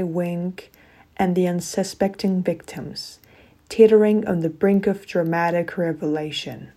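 A woman with a normal speaking voice, medium pitch, fairly even intonation and a fairly slow pace, on a very clean recording with a silent background. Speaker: podcast host. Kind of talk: dramatic scripted narration. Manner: theatrical, suspenseful, hushed intrigue.

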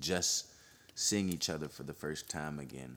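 Speaking at a moderate pace, a man with a very deep, low pitch and vocal fry shows ordinary pitch variation. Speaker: podcast host. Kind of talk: dramatic narration, reading fiction aloud. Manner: expressive, varied pacing.

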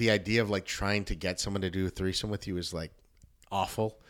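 Talking at a fairly quick pace, a man with a Southern Californian accent uses a fairly low pitch. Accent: Southern California American. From Los Angeles area, West Covina. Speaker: comedian and former youth pastor. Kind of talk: casual interview. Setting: home studio.

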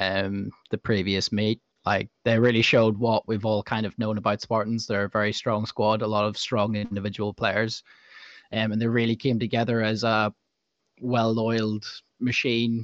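A man's fairly low voice, flat and monotone, at a moderate pace, with a dry, close sound, no echo and a quiet background. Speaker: dodgeball club podcast co-host. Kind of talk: casual chat podcast.

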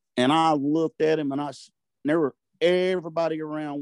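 A man with a Southern US accent talks at a fairly high pitch, his intonation fairly even. The sound is dry and close with no echo, over a quiet background. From US South, Arkansas-Louisiana border. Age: 60s. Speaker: turkey call maker. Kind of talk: casual chat. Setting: video call.

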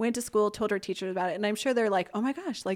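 A normal speaking voice, a woman at medium pitch with ordinary pitch variation. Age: 40s. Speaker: nonprofit founder. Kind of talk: interview.

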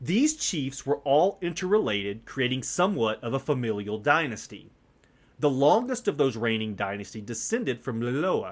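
A man's medium-pitched voice with very wide swings in pitch. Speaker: podcast host. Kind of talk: solo podcast intro, then history documentary narration. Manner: measured, steady storyteller pace, formal and earnest.

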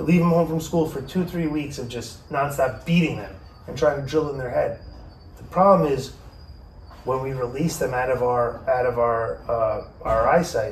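With audible room echo, a man talks at a moderate pace and ordinary pitch variation. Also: fairly high pitch for a man. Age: 40s. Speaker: podcast host. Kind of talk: casual chat.

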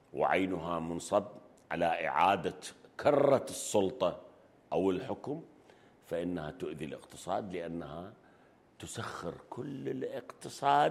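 A man speaks with a very deep, low pitch. His pace is very slow. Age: 60s. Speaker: economist and banker. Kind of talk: interview. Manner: halting.

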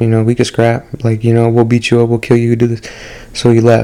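Background noise is clearly present as the man delivers his words fairly quickly. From Mexican-American (Chicano) community, US. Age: 20s. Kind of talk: casual monologue with Bible storytelling. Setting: solo home recording. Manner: casual, with many fillers.

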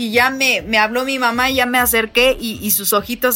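Fairly high female speech, moderately paced, against noticeable background noise. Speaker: motivational speaker. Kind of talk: interview conversation. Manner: animated.

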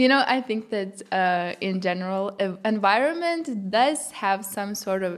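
A woman with a Lithuanian accent, lively intonation and a fairly slow pace. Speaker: pop singer-songwriter. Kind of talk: casual interview.

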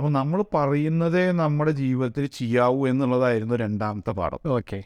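A man at medium pitch uses lively intonation, a plain, everyday voice. The recording is very clean and dry, close, with no echo and a silent background. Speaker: textile retail company director. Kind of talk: radio interview.

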